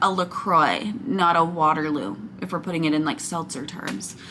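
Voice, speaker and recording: An animated woman at a moderate pace, with noticeable background noise. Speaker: wax melt reviewer, YouTuber. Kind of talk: product haul review. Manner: loud.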